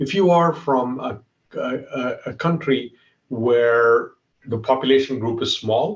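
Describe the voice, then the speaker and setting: A man at medium pitch, somewhat breathy, fairly slow, with ordinary pitch variation. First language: Malayalam. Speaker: tech executive. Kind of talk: talk. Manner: animated.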